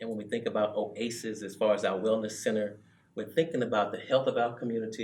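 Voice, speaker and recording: Speaking fairly quickly at a medium pitch, a man uses an unremarkable speaking voice. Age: 60s. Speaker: youth club director. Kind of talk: interview conversation.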